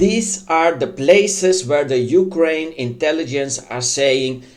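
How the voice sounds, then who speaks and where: A man with a rather high voice and a non-native accent speaks with lively intonation. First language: not English. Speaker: online news commentator. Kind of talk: casual commentary. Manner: halting, many fillers.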